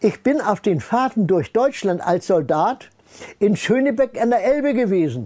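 A man with a high pitch and a dark, mellow tone swings his pitch very widely at a moderate pace. The background is quiet. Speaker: retired scientist speaking on paranormal research; interviewee. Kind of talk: interview, personal storytelling. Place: home room.

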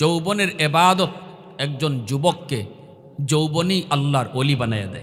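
A man talks at a fairly high pitch, with audible room echo and noticeable background noise both present. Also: ordinary pitch variation. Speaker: Islamic preacher. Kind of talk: sermon. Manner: emotional, impassioned.

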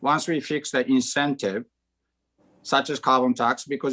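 A man with a Japanese accent, bright and sharp in tone, ordinary pitch variation, quiet background. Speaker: bank chief risk officer; panelist. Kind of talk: panel discussion. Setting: video call. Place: home room. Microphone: video call.

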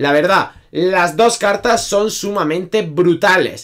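Against a quiet background, a man with a high pitch speaks very slowly, his loudness very even and his pitch variation ordinary. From Spain. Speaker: gaming youtuber. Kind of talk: video game tutorial. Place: home room.

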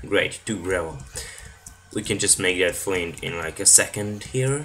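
Fairly slow speech over background music. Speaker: gaming video creator. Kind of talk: gameplay commentary. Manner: casual, rambling thinking aloud.

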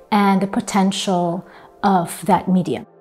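Monotone, flat delivery over faint background music. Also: woman. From Iran. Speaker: multidisciplinary artist. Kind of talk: interview answer. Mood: calm, reflective.

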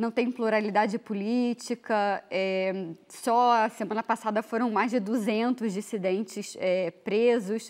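Against a quiet background, a woman speaks at a fairly high pitch. Her pitch variation is ordinary. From Brazil. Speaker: international news reporter; journalist panelist. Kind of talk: TV interview questions. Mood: earnest, critical. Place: studio. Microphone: lapel.

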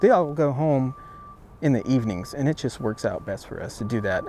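A man at a moderate pace, with a dry sound with no echo and light background noise. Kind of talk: interview answer. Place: open country.

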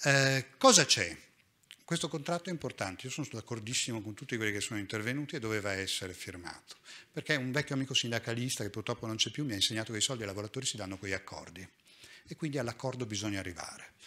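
Speaking very fast, a man uses a bright, sharp tone with ordinary pitch variation. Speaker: hospital nursing director; conference speaker. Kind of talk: conference talk. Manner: lively. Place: hall. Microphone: podium.

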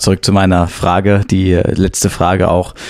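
Against noticeable background noise, a man with a very deep, low pitch talks fairly slowly in a monotone, flat delivery. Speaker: podcast host. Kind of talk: interview.

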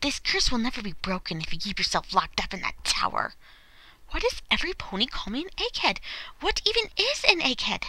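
A woman does a put-on character voice at an extremely high pitch, talking at a fairly quick pace over light background noise. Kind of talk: voice acting audition.

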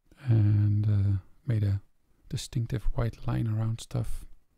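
Soft-spoken and at a fairly slow pace, a man is heard against a quiet background in a dry sound with no echo. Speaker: musician. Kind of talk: casual chat. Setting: home. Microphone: studio mic.

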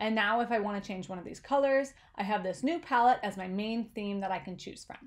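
With a plain, everyday voice, a woman talks fairly quickly at a medium pitch, with ordinary pitch variation and big swings in loudness. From Canada. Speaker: presentation designer. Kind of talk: tutorial.

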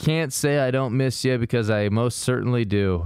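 A man speaks at a moderate pace. The background is quiet and the sound is dry with no echo. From US Midwest. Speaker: comedy true-crime podcast host. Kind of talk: casual comedic chat with true-crime storytelling. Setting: recording session with co-hosts. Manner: animated, laughs often. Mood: solemn, mock-sentimental. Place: home room. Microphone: studio mic.

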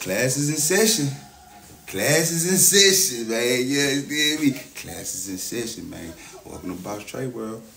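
Man at a moderate pace with big swings in loudness, faint music in the background. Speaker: livestreamer. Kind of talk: casual livestream chat. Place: empty room. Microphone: phone near.

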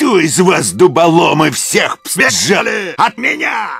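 Raspy and high-pitched for a man, this male voice moves at a fairly slow pace. Faint music plays in the background. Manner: shouting, menacing.

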